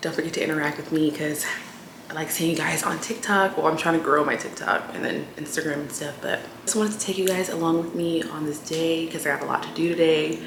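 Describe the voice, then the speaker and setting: A woman with a fairly low pitch talks very fast. Noticeable background noise and audible room echo surround her. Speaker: lifestyle vlogger. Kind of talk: casual vlog talk. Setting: at home. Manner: speaking low.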